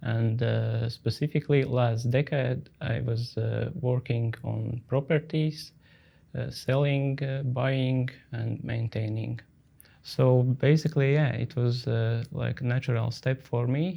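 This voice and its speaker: Very slowly, a man talks in a dark, mellow tone that is somewhat breathy. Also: medium pitch for a man, fairly even intonation. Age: 40s. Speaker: company founder. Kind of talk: interview. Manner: hesitant, many filler sounds.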